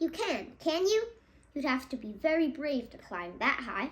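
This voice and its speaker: A woman performs a put-on character voice at a high pitch. She moves through very wide pitch swings at a moderate pace. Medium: read story. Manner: gentle, warm.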